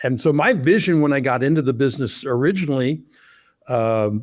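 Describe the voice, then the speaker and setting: In a plain, everyday voice, a man with an American accent talks at a medium pitch with ordinary pitch variation, recorded very cleanly against a silent background. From Oklahoma. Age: 60s. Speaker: loan officer, former baseball umpire. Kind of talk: interview.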